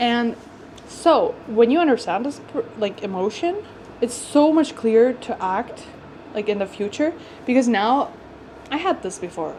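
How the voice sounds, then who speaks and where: The voice swings very widely in pitch. There is noticeable background noise. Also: woman. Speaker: lifestyle vlogger. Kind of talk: casual vlog chat. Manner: animated.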